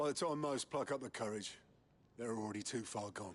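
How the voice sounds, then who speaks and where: In a put-on character voice, a man sounds raspy at a medium pitch, moving at a moderate pace with lively intonation over a quiet background. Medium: video game. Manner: blunt, gruff.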